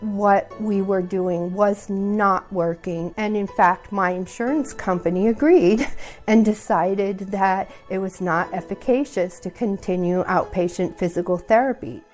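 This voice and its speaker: A woman speaks fairly slowly at a medium pitch, with ordinary pitch variation. Music plays in the background. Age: 60s. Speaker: knee replacement patient. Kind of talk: testimony.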